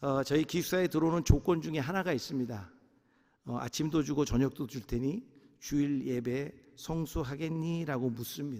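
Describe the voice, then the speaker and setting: Here a man with a fairly high pitch and a dark, mellow tone speaks with ordinary pitch variation. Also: moderate pace. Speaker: pastor. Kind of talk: sermon.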